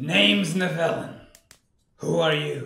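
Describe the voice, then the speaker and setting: A man's put-on character voice, fairly high in pitch, at a fairly slow pace with a slight echo. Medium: machinima. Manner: gruff, commanding.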